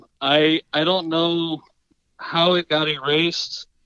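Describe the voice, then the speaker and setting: A man speaks very slowly in a Southern US accent, his pitch high. The sound is dry and close, with no echo. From South Carolina. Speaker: fantasy football league member. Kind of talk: casual chat. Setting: phone call. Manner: halting.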